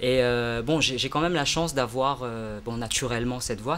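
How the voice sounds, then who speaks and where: Amid audible room echo, a man of medium pitch speaks at a fairly quick pace with fairly even intonation. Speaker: singer and English teacher. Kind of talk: interview. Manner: hesitant, many fillers.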